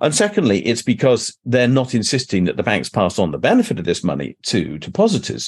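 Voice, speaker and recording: Vocal fry, very wide pitch swings and a fairly quick pace. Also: man. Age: 60s. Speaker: professor.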